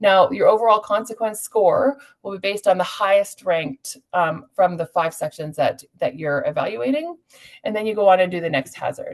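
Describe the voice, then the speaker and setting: Lively intonation with a Canadian accent. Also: woman, medium pitch for a woman. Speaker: climate adaptation specialist. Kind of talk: webinar tool demonstration. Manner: fast.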